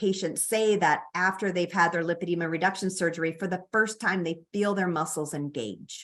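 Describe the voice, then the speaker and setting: Speaking with a Chicago accent, a woman uses a medium pitch, ordinary pitch variation and a moderate pace. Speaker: physician and researcher. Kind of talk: lecture. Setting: online presentation. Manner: hesitant with fillers.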